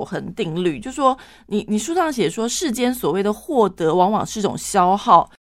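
The audio is very clean and the background silent. Her intonation lively, a woman talks at a medium pitch. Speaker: radio host. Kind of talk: radio interview. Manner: fast.

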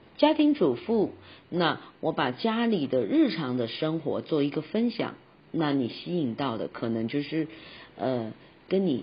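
The speech runs at a fairly slow pace with very wide pitch swings. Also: woman. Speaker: podcast host and voice coach. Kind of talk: tutorial.

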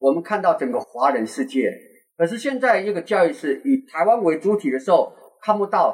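The speaker is a man. He keeps a moderate pace while his pitch swings very widely. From Taiwan. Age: 60s. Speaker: podcast host, tour guide. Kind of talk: casual chat.

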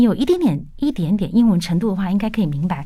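In a dark, mellow tone, a woman speaks with very wide pitch swings. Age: 40s. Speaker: English educator and business lecturer. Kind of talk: radio interview.

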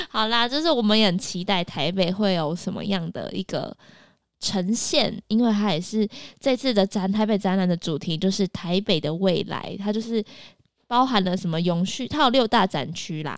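On a very clean recording with a silent background, a woman with an unremarkable speaking voice talks at a moderate pace with a medium pitch and ordinary pitch variation. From Taiwan, Taipei. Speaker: podcast co-host. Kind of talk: news reading; casual chat.

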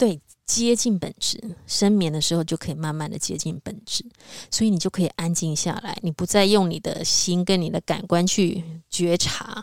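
On a very clean recording with a silent background and a dry, close sound with no echo, a woman speaks in a normal speaking voice at medium pitch, with ordinary pitch variation and a moderate pace. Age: 50s. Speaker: spiritual podcast co-host. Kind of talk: casual spiritual conversation.

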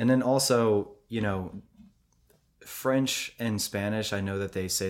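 Heard in a very clean recording with a silent background, a man has an ordinary speaking voice. He talks at a moderate pace with ordinary pitch variation. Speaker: podcast host. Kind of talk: casual chat. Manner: casual, laughs often.

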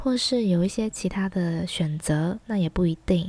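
Recorded very cleanly against a silent background, a woman speaks at a medium pitch and a fairly slow pace, her tone dark and mellow with ordinary pitch variation. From Taiwan. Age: 30s. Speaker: podcast host, former teacher in Thailand. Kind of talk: casual monologue.

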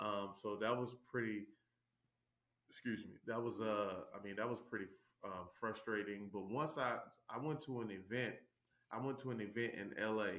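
At a moderate pace and with fairly even intonation, the speaker uses an American accent and leaves long, frequent pauses. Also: man, fairly low pitch for a man. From Tennessee, US South (Chattanooga). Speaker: former pro basketball player, real estate investor. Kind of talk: interview. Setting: video call.

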